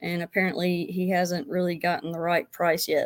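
At a moderate pace, a woman speaks in a normal speaking voice with medium pitch. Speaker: caller, beginner real estate wholesaler. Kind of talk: live Q&A call-in. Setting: video call.

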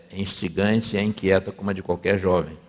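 This is a man speaking. His pitch is fairly low. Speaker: pastor. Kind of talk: sermon. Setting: church. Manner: conversational.

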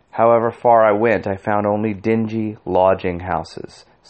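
Unforced reading, intonation staying fairly level

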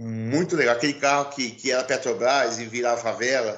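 A man with a plain, everyday voice talks at a fairly quick pace in a medium pitch, keeping his intonation fairly even. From Rio Claro, Brazil. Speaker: singer and musician. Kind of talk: casual chat.

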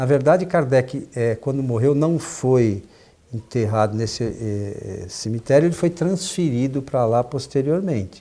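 At a fairly slow pace, a man speaks with a dark, mellow tone and lively intonation. His pitch is medium. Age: 50s. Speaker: spiritist talk show host. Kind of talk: casual chat.

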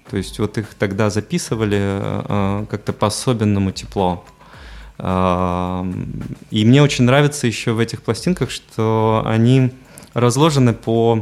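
A man speaks at a very slow pace in a fairly low pitch. His pitch varies in an ordinary way. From Belarus, Mogilev. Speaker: photographer and DJ. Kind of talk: casual interview. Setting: radio studio. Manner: hesitant, many fillers.

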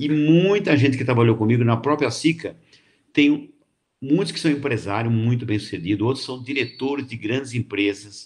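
The man's voice is somewhat breathy. His pitch varies in an ordinary way. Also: medium pitch for a man, moderate pace. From Brazil, São Paulo state (Barretos region, then Jundiaí). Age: 70s. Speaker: retired cooperative executive and author. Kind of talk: casual interview. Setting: live stream.

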